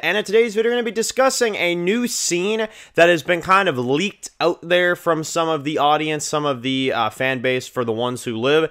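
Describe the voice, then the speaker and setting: Very wide pitch swings mark a man's speech. All around him the background stays quiet. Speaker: show review host. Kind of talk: casual vlog commentary. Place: home room. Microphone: studio mic.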